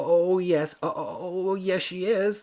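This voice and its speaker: A man puts on a character voice, pitched high and delivered at a fairly slow pace with fairly even intonation. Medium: read story. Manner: stammering, nervous.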